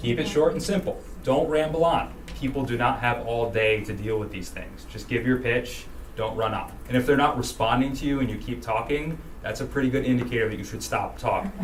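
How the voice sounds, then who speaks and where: A man speaks at a fairly quick pace and medium pitch with ordinary pitch variation, amid noticeable background noise and audible room echo. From Rhode Island. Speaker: political campaign trainer. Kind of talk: training workshop. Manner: fast.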